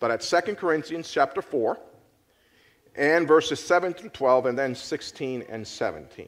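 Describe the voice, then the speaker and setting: At a fairly slow pace, a man with a fairly high pitch speaks with lively intonation and big swings in loudness, in a very clean recording with a silent background. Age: 50s. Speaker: pastor. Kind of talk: sermon. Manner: conversational, with many hesitations.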